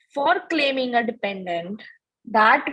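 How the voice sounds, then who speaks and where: Very slowly, a woman speaks at a high pitch. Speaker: tax instructor. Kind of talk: lecture.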